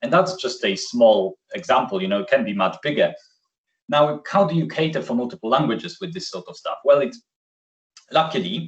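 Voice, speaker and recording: Against a quiet background, a man with a fairly high, vocal-fry voice speaks at a fairly quick pace, his pitch swinging very widely and his loudness shifting in big swings. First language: Polish. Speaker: software solution architect; presenter. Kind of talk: webinar presentation. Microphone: video call.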